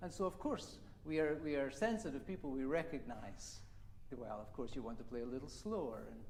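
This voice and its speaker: A man with a fairly high pitch talks at a fairly quick pace. Audible room echo surrounds the voice. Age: 60s. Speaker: viola teacher. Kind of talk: masterclass teaching.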